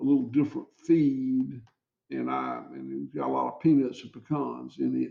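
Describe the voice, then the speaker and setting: A man speaks at a fairly slow pace. He has a Southern US accent. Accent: Southern US (Georgia). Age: 60s. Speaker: cattle farmer. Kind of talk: interview. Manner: halting, many repeated words.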